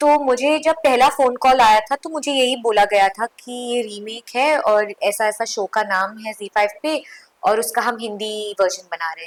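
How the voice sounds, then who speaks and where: Her fairly high voice comes with hardly any pauses, big swings in loudness and ordinary pitch variation, in a dry, close sound with no echo. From Mumbai, India. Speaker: actress. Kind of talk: interview.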